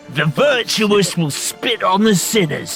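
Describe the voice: A man uses a put-on character voice with high pitch, a fairly bright tone, vocal fry and lively intonation at a slow pace. Faint music plays in the background.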